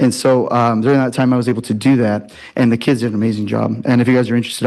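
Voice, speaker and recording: Here a man's medium-pitched voice, dark and mellow in tone, moves at a very fast pace. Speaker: teacher. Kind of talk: public comment at board meeting. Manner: animated.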